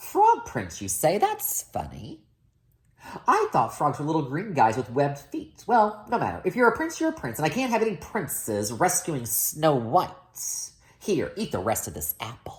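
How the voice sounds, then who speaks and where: A man puts on a croaky character voice pitched fairly high. He keeps a moderate pace. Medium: read story.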